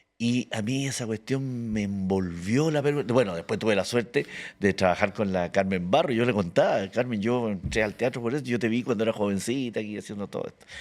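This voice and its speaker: In a very clean recording with a silent background, a man with a Chilean accent speaks at a fairly quick pace and medium pitch, with ordinary pitch variation and hardly any pauses. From Chile, Santiago (born Antofagasta). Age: 70s. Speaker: actor and comedian. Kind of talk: casual interview chat.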